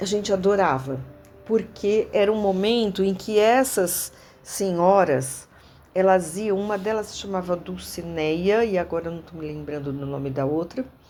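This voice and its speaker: A woman with a dark, mellow tone talks at a fairly slow pace in a medium pitch, with ordinary pitch variation and big swings in loudness. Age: 60s. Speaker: former student of the school. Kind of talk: interview reminiscence. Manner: halting, with fillers and repetitions.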